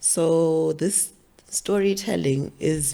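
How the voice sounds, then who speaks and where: The speaker has a Zimbabwean accent, heard on a very clean recording with a silent background. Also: woman. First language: Shona. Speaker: author. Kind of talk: interview.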